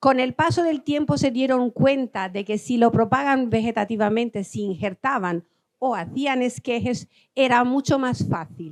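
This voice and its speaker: The sound is dry and close, with no echo. The intonation is lively and the pace fairly slow. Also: woman. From Albania. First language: Albanian (speaking Spanish). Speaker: agricultural researcher. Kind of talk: lecture. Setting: conference hall with audience. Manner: halting.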